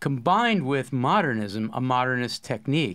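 A man with an American accent and a fairly high pitch, against a quiet background. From New York. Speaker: poetry professor, course host. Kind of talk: academic discussion. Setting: studio room, with remote guest on video call. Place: home room. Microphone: studio mic.

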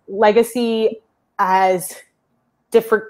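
Against a quiet background, a speaker with a Canadian accent uses fairly even intonation. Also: woman. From Toronto, Canada. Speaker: tech startup founder; guest. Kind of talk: interview conversation. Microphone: earbuds.

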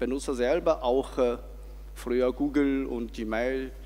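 A man with a Chinese accent, at a very slow pace. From China. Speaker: foundation advisory board member; audience member. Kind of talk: audience question. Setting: stage with audience. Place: hall.

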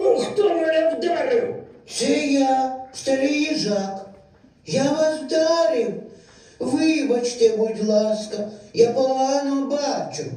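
A woman puts on a high-pitched character voice, speaking very slowly amid strong echo. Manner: apologetic, frail.

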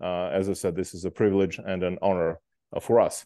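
Dark, mellow tone at a moderate pace, dry sound with no echo, quiet background. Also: man. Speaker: event host, moderator. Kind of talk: formal introduction of a guest speaker.

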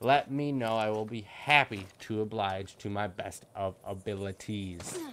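Over light background noise, a man's robotic voice moves at a fairly slow pace. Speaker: gaming YouTuber. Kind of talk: gameplay commentary. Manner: deliberately clear, robotic delivery. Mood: grateful, upbeat. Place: home room. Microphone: headset.

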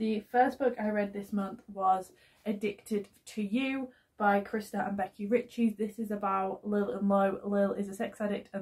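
A somewhat breathy woman at a moderate pace, monotone and flat, against a quiet background. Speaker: book vlogger. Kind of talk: casual vlog chat. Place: home room. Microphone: phone near.

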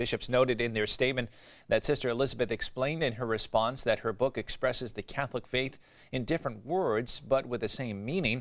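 The man's speech runs at a fairly quick pace, its pitch varying in an ordinary way. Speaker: news anchor. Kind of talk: news reading. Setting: studio. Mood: calm formal delivery. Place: studio. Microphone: lapel.

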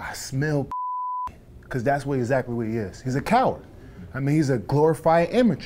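Speaking fairly quickly but with long, frequent pauses, a man with an American accent uses a fairly high pitch and ordinary pitch variation amid noticeable background noise. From US Northeast (Albany, New York). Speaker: professional boxer. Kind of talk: interview. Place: hall. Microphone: lapel.

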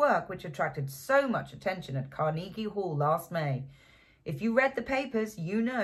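The speaker has a natural reading voice. The words are read out.

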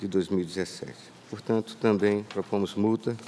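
A man speaks at a fairly slow pace with a fairly low pitch. His tone is dark and mellow. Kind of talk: formal legal opinion. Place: hall. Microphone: podium.

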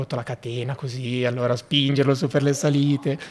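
A man talks at a fairly quick pace in a medium pitch, with monotone, flat intonation. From northern Italy, Valsassina (Lecco, Lombardy); Lombardy, Italy. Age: 20s. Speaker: bicycle traveller; podcast guest. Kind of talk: casual interview. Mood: relaxed, cheerful. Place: studio. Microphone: studio mic.

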